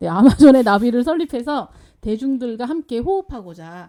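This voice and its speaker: A woman's fairly high voice with a dark, mellow tone and very wide pitch swings, fairly quick, in a very clean recording with a silent background. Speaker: live stream host. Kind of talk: casual live talk show chat. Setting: publisher's office live stream. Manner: lively, witty banter.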